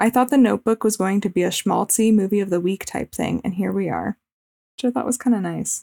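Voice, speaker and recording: A woman speaks with a dark, mellow tone and fairly even intonation. The sound is dry and close, with no echo. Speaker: podcast host. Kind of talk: casual chat. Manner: valley girl speech.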